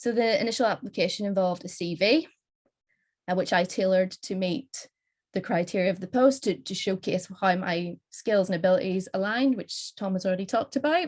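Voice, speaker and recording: At a fairly quick pace, a woman with a Northern Irish accent talks in a medium pitch with ordinary pitch variation over a quiet background. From Northern Ireland. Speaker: postdoctoral researcher. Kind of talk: conference panel talk.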